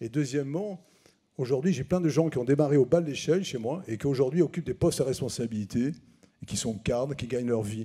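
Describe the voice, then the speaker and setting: Very fast, a man talks with a fairly high voice for a man, a dark, mellow tone, and ordinary pitch variation. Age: 60s. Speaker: business owner. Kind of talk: public town hall debate. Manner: animated.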